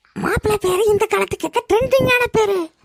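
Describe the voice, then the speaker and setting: A squeaky, cartoonish character voice at an extremely high pitch and a moderate pace. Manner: loud, calling out.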